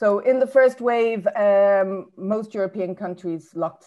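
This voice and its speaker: Speaking very slowly with an Irish accent, a woman has a dark, mellow tone and ordinary pitch variation. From Ireland. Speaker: academic speaker on trade policy. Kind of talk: conference talk. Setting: webinar. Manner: hesitant, many fillers.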